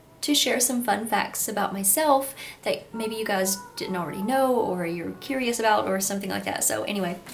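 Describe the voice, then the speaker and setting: Talking at a fairly quick pace in a Kentucky accent, a woman with a fairly high pitch and lively intonation is heard through audible room echo and noticeable background noise. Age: 20s. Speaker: YouTuber. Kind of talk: casual vlog talk to camera. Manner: animated.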